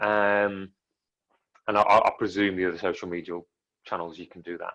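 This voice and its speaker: With an English Midlands accent, a man speaks at a fairly quick pace in a fairly low pitch, his bright, sharp tone flat and monotone while the loudness swings widely. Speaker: filmmaker. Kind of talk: interview. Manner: fairly monotone.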